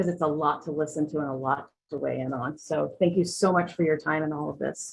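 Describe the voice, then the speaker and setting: A woman at a very deep, low pitch with vocal fry and lively intonation, fairly quick with hardly any pauses. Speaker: public commenter at town meeting. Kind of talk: public comment at zoning hearing. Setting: virtual meeting.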